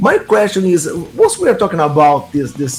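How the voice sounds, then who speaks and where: Over music in the background, a man with a Brazilian accent talks at a moderate pace and a high pitch. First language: Portuguese. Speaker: metal interviewer. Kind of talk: interview. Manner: halting.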